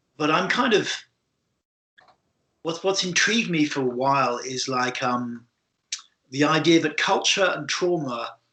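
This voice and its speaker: A man with a British accent talks fairly slowly in a fairly high, bright, sharp voice. His intonation is lively, broken by long, frequent pauses. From UK. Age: 60s. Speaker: podcast host, body therapist. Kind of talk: interview conversation. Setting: remote call. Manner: halting, with many repetitions.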